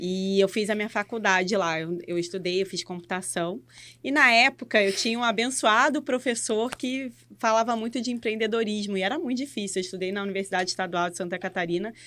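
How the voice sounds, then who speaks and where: A bright, sharp tone at a fairly quick pace, with ordinary pitch variation, on a very clean recording with a silent background. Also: woman, medium pitch for a woman. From Rio de Janeiro, Brazil. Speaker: innovation and education lead. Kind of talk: casual podcast interview. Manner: halting, with restarts and fillers.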